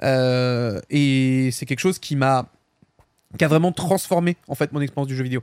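In a dry, close sound with no echo, a man with a plain, everyday voice speaks at a moderate pace, medium in pitch with ordinary variation. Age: 20s. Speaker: gaming podcast co-host. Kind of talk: casual chat.

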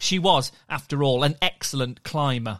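A man with a British accent, warm and playful yet bright and sharp in tone, at a moderate pace in a very clean recording with a silent background. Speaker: podcast storyteller. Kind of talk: dramatic story narration for children. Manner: warm, playful and enthusiastic.

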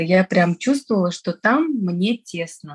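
A woman's medium-pitched, somewhat breathy voice at a very slow pace, the sound dry and close with no echo. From Tajikistan, Dushanbe. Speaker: entrepreneur. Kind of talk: casual interview chat.

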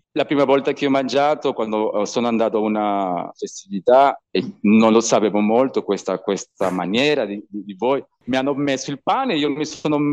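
A man with a Spanish accent talks at a fairly quick pace and a medium pitch, with ordinary pitch variation. The sound is dry and close, with no echo. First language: Spanish (speaking Italian). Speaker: bartender and video podcaster. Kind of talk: casual interview chat. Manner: halting, repeats words while searching Italian.

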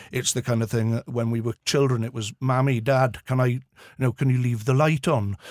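Here is a man with a Welsh accent. His intonation is fairly even. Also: medium pitch for a man, fairly quick pace, dry, close sound with no echo. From Wales, Swansea. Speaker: visually impaired guide dog owner. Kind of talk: casual chat. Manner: halting.

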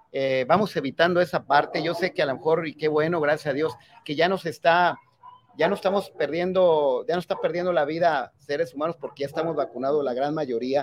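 Speaking at a fairly quick pace, a man with an unremarkable speaking voice keeps a fairly high pitch and fairly even intonation. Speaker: municipal president. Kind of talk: interview.

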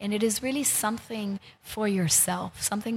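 A woman with a plain, everyday voice speaks at a moderate pace, her medium pitch held in a fairly even intonation. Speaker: healer and wellness center founder. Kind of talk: interview, casual chat. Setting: studio.

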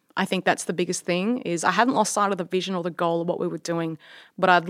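On a very clean recording with a silent background, a woman with an Australian accent speaks at a fairly low pitch with fairly even intonation. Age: 30s. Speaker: entrepreneur and engineer. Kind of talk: interview.

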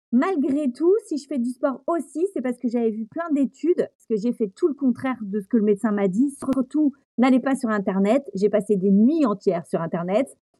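Recorded with a dry, close sound and no echo, a woman speaks in a high pitch with a dark, mellow tone, lively intonation, and big swings in loudness. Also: moderate pace, hardly any pauses. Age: 40s. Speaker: flight attendant and amateur trail runner. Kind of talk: casual interview.

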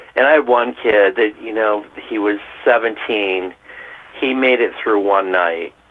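A man's fairly low voice at a very slow pace, with ordinary pitch variation and noticeable background noise. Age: 50s. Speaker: restaurant worker. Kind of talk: interview.

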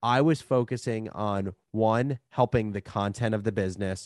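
A man's normal speaking voice with an American accent, medium pitch and ordinary pitch variation, at a moderate pace, the sound dry and close with no echo over a quiet background. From New Jersey. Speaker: media startup founder. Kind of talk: interview conversation.

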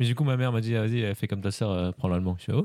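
Pitch moves up and down in a normal way. The tone is dark and mellow. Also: man. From France. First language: Khmer (speaking French). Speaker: polyglot guest. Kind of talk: casual chat.

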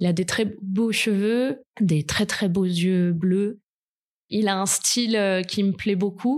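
A woman's medium-pitched voice at a very slow pace, with ordinary pitch variation and very even loudness, in a very clean recording against a silent background. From southern France, Côte d'Azur. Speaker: podcast guest telling her love story. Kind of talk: personal testimony. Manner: hesitant, with fillers.

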